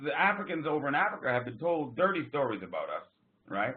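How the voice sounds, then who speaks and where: Fairly high in pitch, a man speaks in an animated tone with lively intonation and an American accent. Room echo is audible. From US Northeast. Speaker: business group leader hosting a call. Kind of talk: conference call meeting. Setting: phone conference call.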